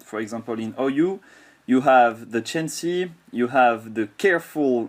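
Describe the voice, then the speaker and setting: Speaking with a French accent, a man talks at a fairly slow pace and medium pitch with lively intonation. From France. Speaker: software developer and gamer. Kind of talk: software tutorial. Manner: halting with fillers and repeats.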